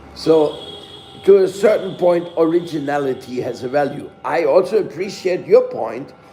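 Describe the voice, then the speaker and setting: A high-pitched male voice with a non-native accent and ordinary pitch variation, plus audible room echo and background music. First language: not English. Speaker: spiritual teacher. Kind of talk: scripture lecture. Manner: halting.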